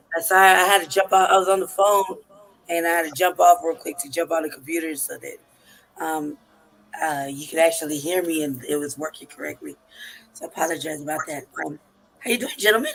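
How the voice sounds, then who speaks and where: With music in the background, the speech comes at a very fast pace broken by long, frequent pauses. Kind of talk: casual chat.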